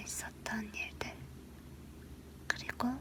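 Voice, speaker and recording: The voice is soft-spoken and whispering. Noticeable background noise is present. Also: woman. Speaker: ASMR creator. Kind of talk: casual chatty talk to camera. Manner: soft, whispery, chatty.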